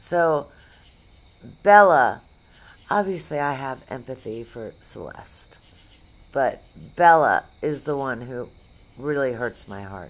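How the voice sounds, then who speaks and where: Speaking very slowly with long, frequent pauses, a woman's very deep, low voice shows lively intonation and big swings in loudness. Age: 50s. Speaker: YouTuber reacting to videos. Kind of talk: reaction commentary. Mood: earnest, concerned. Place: home room.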